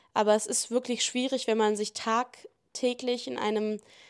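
A woman speaks slowly-ish, at a fairly slow pace, with fairly even intonation and a fairly high pitch. The recording is very clean, the background silent. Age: 20s. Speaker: podcast host. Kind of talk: casual monologue answering listener questions.

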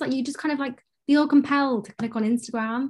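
Her voice is high, and its pitch varies in an ordinary way. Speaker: podcast host. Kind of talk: casual interview chat.

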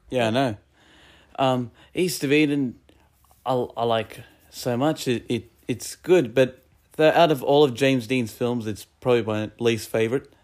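Speaking at a fairly slow pace with long, frequent pauses, a man keeps a medium pitch and ordinary pitch variation. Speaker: guest co-reviewer. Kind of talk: casual chat, movie review podcast.

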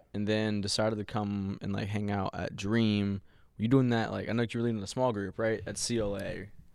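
A fairly low-pitched man's voice with an American accent, monotone and flat, at a fairly quick pace. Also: very clean recording, silent background. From US South. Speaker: podcast host. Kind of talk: casual chat.

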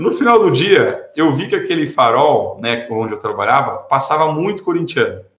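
Audible room echo surrounds a man's voice. He speaks at a moderate pace. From interior of São Paulo state, Brazil. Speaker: entrepreneur in programmatic media. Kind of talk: interview, casual chat.

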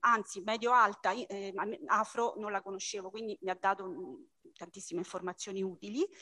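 Bright and sharp in tone, the voice moves at a moderate pace with ordinary pitch variation. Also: woman. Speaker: book club member. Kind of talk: book club discussion.

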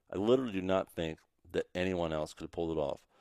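Very deep and low, a man's dark, mellow voice moves at a fairly quick pace with ordinary pitch variation, heard dry and close with no echo. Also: very clean recording, silent background. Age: 30s. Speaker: online marketing entrepreneur. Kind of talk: interview conversation. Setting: mansion on the water.

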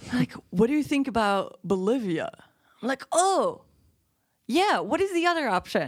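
A woman speaks in a high voice with very wide swings in pitch. She leaves long pauses, and they come often. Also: moderate pace. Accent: Dutch. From Belgium, Antwerp. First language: Dutch. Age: 30s. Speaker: podcast guest. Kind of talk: casual chat.

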